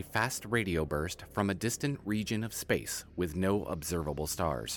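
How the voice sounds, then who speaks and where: Using vocal fry, a man talks at a fairly slow pace with a fairly low pitch. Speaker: narrator. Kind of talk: scripted narration.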